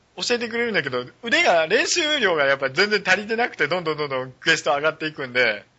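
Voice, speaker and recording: Very fast with hardly any pauses, a man talks at a fairly high pitch. His voice makes very wide pitch swings. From rural Japan. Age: 40s. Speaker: web radio host. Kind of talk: casual chat. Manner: animated.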